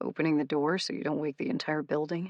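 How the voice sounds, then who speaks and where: Someone speaks at a very fast pace in a rumbling, put-on character voice. The pitch sits in the middle range. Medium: read story.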